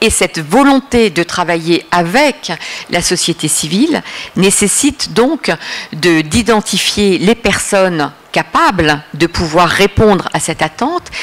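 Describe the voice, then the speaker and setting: A woman speaks very slowly with lively intonation and very even loudness over noticeable background noise. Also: medium pitch for a woman. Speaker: Middle East policy expert, consultant. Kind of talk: lecture. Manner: hesitant, many filler sounds.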